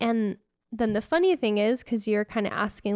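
A woman with an unremarkable speaking voice talks at a fairly quick pace, her pitch fairly high and ordinary in its variation. The recording is very clean with a silent background and a dry, close sound with no echo. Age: 30s. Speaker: Reiki practitioner and yoga teacher. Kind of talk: casual chat.

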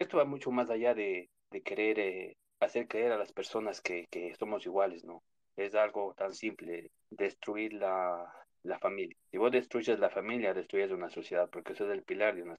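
A man with a normal speaking voice and fairly low pitch talks at a moderate pace with ordinary pitch variation and big swings in loudness, the sound dry and close with no echo. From New York (born in Ecuador). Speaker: caller. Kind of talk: opinion call-in on a live audio space.

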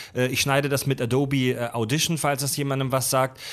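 Here a man talks in an ordinary speaking voice. He is fairly high-pitched and fairly quick. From Baden-Württemberg, near Pforzheim. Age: 30s. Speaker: podcast host, former radio presenter. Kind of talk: casual chat.

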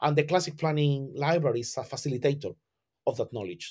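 Breathy in a slight way, a man talks at a very fast pace with a Spanish accent and a fairly high pitch, on a very clean recording against a silent background. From southern Spain. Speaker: classical architect and educator. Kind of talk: interview. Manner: halting, with frequent repetitions.

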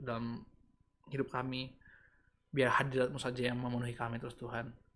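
Talking very fast, a man keeps a medium pitch and a monotone, flat intonation. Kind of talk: livestream devotional talk, casual. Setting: online livestream video. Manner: chatty, informal, mixes Indonesian and English.

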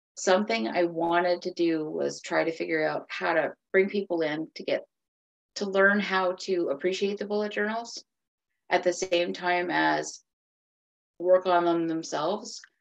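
In an Atlantic Canadian accent, a woman speaks at a fairly low pitch. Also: ordinary pitch variation, moderate pace. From Cape Breton, Nova Scotia, Canada. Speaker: author. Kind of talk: interview.

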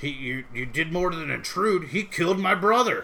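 A man's put-on character voice, high in pitch, at a moderate pace over light background noise.

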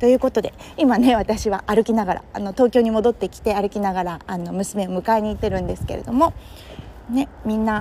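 With a relaxed tone, a woman speaks at a fairly quick pace and fairly high pitch, with ordinary pitch variation, big swings in loudness and noticeable background noise. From Kurume, Fukuoka, Japan. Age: 30s. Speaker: podcaster and entrepreneur. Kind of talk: casual solo monologue. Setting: walking outdoors in Tokyo. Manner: relaxed, conversational with many fillers.

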